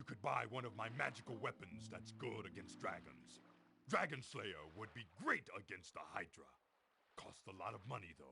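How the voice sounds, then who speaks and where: A man's put-on character voice at medium pitch. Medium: video game. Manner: blunt, matter-of-fact.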